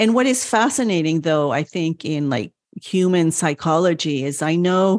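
An American woman talks at a fairly slow pace in a fairly low voice, on a very clean recording with a silent background. She has an unremarkable speaking voice. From France and the United States. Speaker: Montessori parenting consultant and doula. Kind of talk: casual interview chat.

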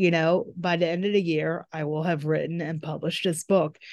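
In a dry, close recording with no echo and a quiet background, a woman with an American accent and an ordinary speaking voice talks at a fairly quick pace, her fairly low pitch held to fairly even intonation. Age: 40s. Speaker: writing coach and former journalist. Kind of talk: interview.

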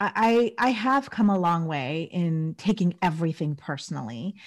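A woman's voice, somewhat breathy, with ordinary pitch variation. The recording is very clean, with a silent background. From Southeast Asia. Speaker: podcast host, surgeon and burnout coach. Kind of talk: interview conversation.

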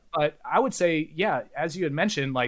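On a very clean recording with a silent background, a man with a Californian accent speaks at a moderate pace with lively intonation. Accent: General American (Californian). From US, California Bay Area. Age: 40s. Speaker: independent media founder. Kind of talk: interview.

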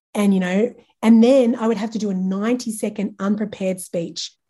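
With an Australian accent, a woman speaks at a fairly high pitch in a somewhat breathy, dark, mellow tone with fairly even intonation. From Australia, regional New South Wales. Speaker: branding and marketing agency owner. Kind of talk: casual interview chat.

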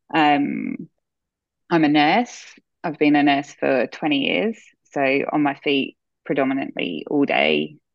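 A woman with an Australian accent at a very slow pace, with long, frequent pauses. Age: 40s. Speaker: nurse. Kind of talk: casual interview.

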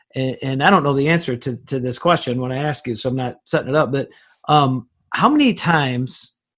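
A plain, everyday voice, its pitch moving in the usual way. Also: man. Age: 40s. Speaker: podcast host. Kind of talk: interview.

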